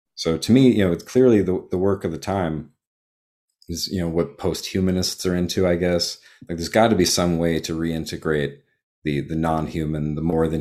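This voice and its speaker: Recorded very cleanly against a silent background, a man with an American accent speaks at a moderate pace in a very deep, low voice with a dark, mellow tone and ordinary pitch variation. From Texas. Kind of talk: casual interview conversation.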